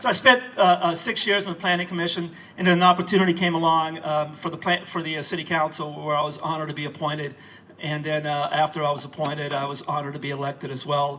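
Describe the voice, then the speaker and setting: Against noticeable background noise, a man with a fairly high pitch talks very fast in a fairly even intonation. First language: not English. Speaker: city council candidate. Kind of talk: campaign speech. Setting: house reception with audience. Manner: hesitant, many fillers.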